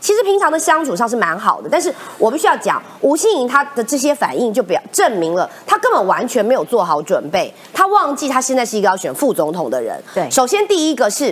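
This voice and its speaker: Over noticeable background noise, a woman with a high pitch speaks with very wide pitch swings and hardly any pauses. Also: fairly quick pace. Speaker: legislator, former journalist. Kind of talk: talk show panel commentary.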